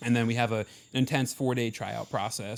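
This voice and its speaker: Speaking at a very fast pace, a man with an Ohio accent has a medium-pitched voice. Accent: Midwestern Ohio. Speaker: marching band member. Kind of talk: casual chat.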